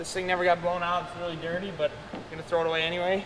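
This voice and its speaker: A man's high-pitched, very fast, monotone and flat delivery, with audible room echo and noticeable background noise. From US Midwest, southwest Minnesota. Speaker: farmer and video blogger. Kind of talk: tutorial vlog narration. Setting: farm shop.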